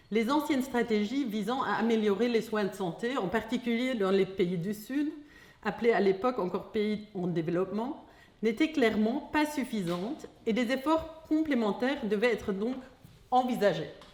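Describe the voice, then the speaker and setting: Speaking with a German accent, a woman uses lively intonation at a fairly high pitch and moderate pace, with noticeable background noise and audible room echo. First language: German (speaking French). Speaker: philosopher of science. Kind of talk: lecture read from text. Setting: hall with audience. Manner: reading aloud.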